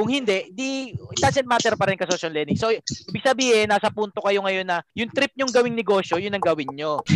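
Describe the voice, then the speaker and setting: High-pitched man at a very fast pace with lively intonation, over noticeable background noise. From Philippines. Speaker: business podcast host and coach. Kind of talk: live business coaching call-in. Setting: Zoom call.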